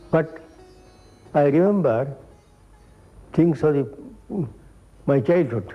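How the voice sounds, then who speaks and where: Music plays in the background as a man talks at a fairly slow pace with a fairly high pitch. His pitch variation is ordinary, and he takes long, frequent pauses. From South Canara, India. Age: 60s. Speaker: poet. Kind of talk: interview reminiscence.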